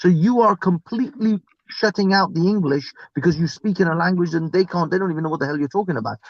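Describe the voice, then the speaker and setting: A man speaks in a high voice with ordinary pitch variation. The sound is dry and close, with no echo. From Iran. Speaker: live stream participant. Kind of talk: casual chat. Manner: halting.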